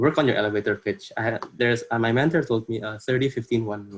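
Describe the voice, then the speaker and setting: In a quiet background, a man with an Indonesian accent speaks at medium pitch, somewhat breathy, with ordinary pitch variation. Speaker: workshop presenter. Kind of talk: workshop presentation. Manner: halting, many fillers.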